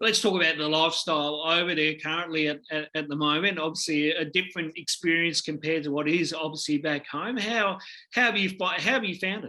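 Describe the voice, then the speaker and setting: A bright, sharp tone with an Australian accent moves at a fairly quick pace with ordinary pitch variation. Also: man. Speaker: basketball podcast host. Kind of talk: interview. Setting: video call. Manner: halting.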